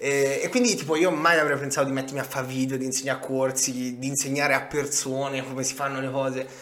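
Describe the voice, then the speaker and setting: A man of medium pitch talks at a very fast pace with hardly any pauses. Noticeable background noise and audible room echo surround him. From Tuscany, Grosseto. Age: 20s. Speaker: digital entrepreneur and crypto investor. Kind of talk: casual interview. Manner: animated.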